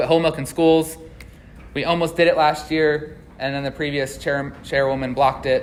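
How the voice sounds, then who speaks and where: Monotone, flat intonation comes through audible room echo and noticeable background noise. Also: man, fairly high pitch for a man. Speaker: agricultural economist. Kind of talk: conference presentation. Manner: fast.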